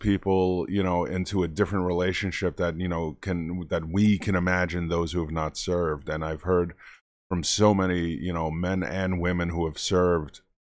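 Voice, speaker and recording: On a very clean recording with a silent background, a man speaks in a New York accent. His pitch is very deep and low, and his pace is moderate. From Brooklyn, New York. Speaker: history teacher. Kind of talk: casual reaction talk to camera.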